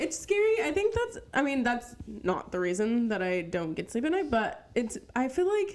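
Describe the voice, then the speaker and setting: A high-pitched woman talks at a fairly slow pace with hardly any pauses. Her pitch swings very widely. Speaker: podcast co-host. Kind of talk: casual chat.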